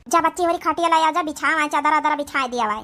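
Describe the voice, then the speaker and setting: In a squeaky, cartoonish character voice, a woman speaks at a high pitch and fairly quick pace with ordinary pitch variation. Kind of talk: cartoon village comedy. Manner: homely and conciliatory.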